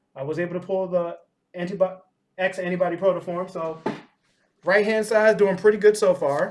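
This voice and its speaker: A man talks at a high pitch. His pace is fairly quick. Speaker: card game YouTuber. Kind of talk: unboxing commentary. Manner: halting, self-correcting; casual.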